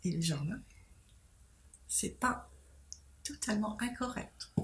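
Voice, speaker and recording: Very slow female speech with very wide pitch swings. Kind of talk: interview answer. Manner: hesitant.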